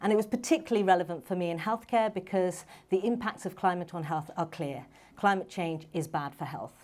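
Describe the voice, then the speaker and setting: A moderate pace in a London accent, with ordinary pitch variation. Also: woman. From London, England. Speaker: medical doctor and startup founder. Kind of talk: panel talk. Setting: stage with audience.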